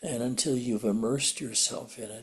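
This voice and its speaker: Speaking at a medium pitch, this man sounds somewhat breathy. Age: 80s+. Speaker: spiritual teacher. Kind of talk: satsang talk. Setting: video call.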